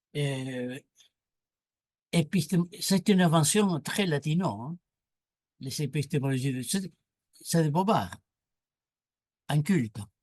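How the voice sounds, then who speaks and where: The man's voice is fairly high in pitch and somewhat breathy, with lively intonation. He speaks at a very slow pace with long, frequent pauses. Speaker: moderator and philosopher-sociologist. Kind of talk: panel discussion. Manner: animated.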